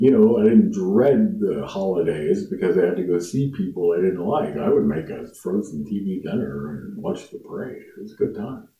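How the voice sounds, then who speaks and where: A man speaks at a moderate pace with an American accent. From US Midwest, Lafayette, Indiana. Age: 50s. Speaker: musician and YouTuber. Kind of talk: casual monologue to camera.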